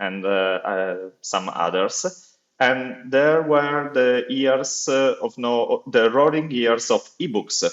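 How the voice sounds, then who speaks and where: A man with an Italian accent, medium pitch, ordinary pitch variation and a very slow pace. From Italy. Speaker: accessibility officer at a publishing foundation. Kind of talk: podcast interview. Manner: halting, many fillers.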